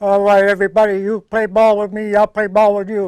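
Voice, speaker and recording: In a put-on character voice, a man talks at a fairly quick pace with a high pitch and monotone, flat intonation. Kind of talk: commanding.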